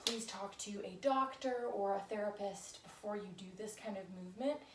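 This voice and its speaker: Soft-spoken, a woman talks at a medium pitch and a moderate pace with ordinary pitch variation, over noticeable background noise. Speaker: fitness instructor. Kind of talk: tutorial.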